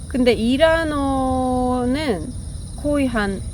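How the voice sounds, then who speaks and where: A woman with a Persian accent speaks in a high pitch. Her voice carries audible room echo and noticeable background noise. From Iran. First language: Persian (speaking Korean). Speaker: vlogger. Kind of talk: casual chat. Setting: outdoors.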